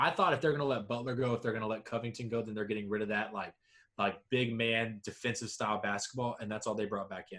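A man with an American accent talks at a very fast pace and medium pitch with fairly even intonation. His bright, sharp tone sits on a very clean recording with a silent background. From US South, Georgia. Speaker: sports podcast co-host. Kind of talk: casual chat.

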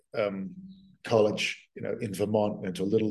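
With an Australian accent, a man speaks at a fairly low pitch and a moderate pace in a dark, mellow tone. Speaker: author. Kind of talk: interview conversation.

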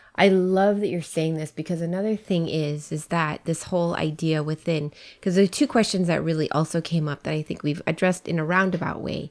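At a fairly quick pace with hardly any pauses, a woman speaks at a fairly low pitch in a very clean recording with a silent background. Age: 40s. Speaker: podcast co-host. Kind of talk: casual chat. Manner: animated.

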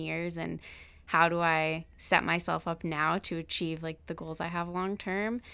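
A woman with a Canadian accent, fairly low in pitch, bright and sharp in tone, at a moderate pace, on a very clean recording with a silent background. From British Columbia, Canada (Pitt Meadows). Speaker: law student podcast co-host. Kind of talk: casual chat. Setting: studio.

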